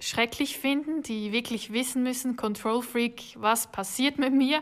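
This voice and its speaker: A woman keeps her intonation fairly even on a very clean recording with a silent background. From Switzerland. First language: Swiss German (speaking German). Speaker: hotel marketing worker. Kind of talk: casual interview.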